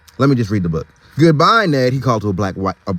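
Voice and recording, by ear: With lively intonation, a passage is read aloud in a natural voice.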